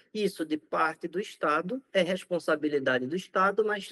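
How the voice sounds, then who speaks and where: A man with a northeastern Brazilian accent, lively intonation and a moderate pace, in a dry, close sound with no echo. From Brazilian Northeast. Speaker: infectious disease doctor. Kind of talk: interview.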